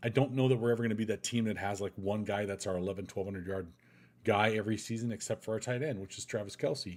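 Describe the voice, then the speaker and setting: A man talks very fast in a fairly low voice with fairly even intonation. The recording is very clean, with a silent background. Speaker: sports podcaster. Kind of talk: live stream commentary.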